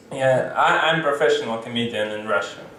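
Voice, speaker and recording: A man speaks with fairly even intonation at a medium pitch, the room echo audible and the background noise noticeable. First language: Russian. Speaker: stand-up comedian. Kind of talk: stand-up. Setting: stage with audience. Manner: halting.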